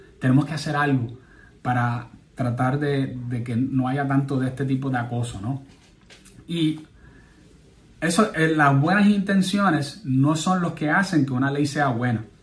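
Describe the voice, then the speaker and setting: A man's fairly high, somewhat breathy voice at a moderate pace, with ordinary pitch variation and long, frequent pauses. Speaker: political commentary podcaster. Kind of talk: political commentary monologue. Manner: halting, frequent repetitions.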